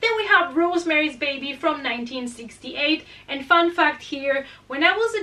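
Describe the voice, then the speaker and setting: A woman with a Spanish accent speaks at a moderate pace in a raised, projected voice. Her intonation is lively. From Spain. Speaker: horror movie youtuber. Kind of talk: casual movie recommendations.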